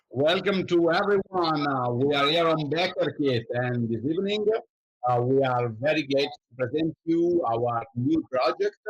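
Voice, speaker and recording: Fairly slow speech from a man at a fairly high pitch, with an Italian accent and ordinary pitch variation. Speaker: show host. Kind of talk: interview. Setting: live stream. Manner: halting.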